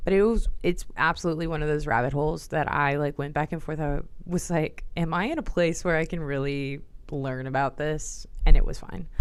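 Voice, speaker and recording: In an American accent, a woman speaks at a fairly low pitch and a moderate pace, with ordinary pitch variation. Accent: slight Southern accent, comes and goes. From Texas. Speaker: livestreamer, commentary creator. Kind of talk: casual livestream chat. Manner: casual, filler-heavy with frequent um and like.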